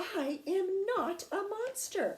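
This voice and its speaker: Pitched extremely high, a woman's squeaky voice is a put-on character voice. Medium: read story. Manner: polite, formal.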